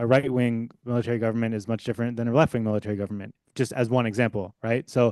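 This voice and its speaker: A very fast pace over a quiet background. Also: man. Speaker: historian and book author. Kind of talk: academic panel response.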